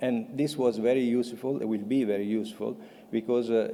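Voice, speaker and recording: In an Italian accent, a dark, mellow voice moves at a fairly quick pace with fairly even intonation. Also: man. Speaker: patient advocate. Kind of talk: conference presentation. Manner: halting.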